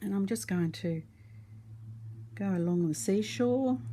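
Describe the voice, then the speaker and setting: Somewhat breathy and dark, mellow in tone, a woman with an Australian accent speaks with very wide pitch swings. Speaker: resin art teacher. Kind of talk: tutorial. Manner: casual, hesitant with fillers.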